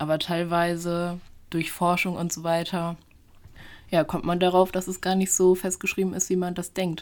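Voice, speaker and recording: A woman speaks at a moderate pace and a fairly low pitch, with monotone, flat intonation. The recording is very clean, with a silent background. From German village. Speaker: history student and podcast co-host. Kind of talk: casual storytelling chat.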